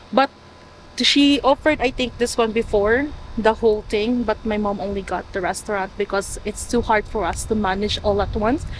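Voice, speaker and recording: A woman's fairly high voice moves at a moderate pace, its pitch varying in an ordinary way, with noticeable background noise behind it. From Philippines, Manila. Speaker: motel family member. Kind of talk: interview.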